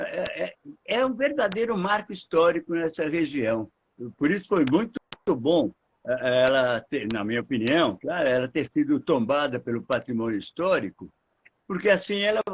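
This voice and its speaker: A man speaks at a moderate pace. His voice is high for a man and swings very widely in pitch. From Brazil, São Paulo (Ipiranga). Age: 80s+. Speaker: foundation director, heritage project leader. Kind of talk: interview in a live stream. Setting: live stream. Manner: halting, repeating words.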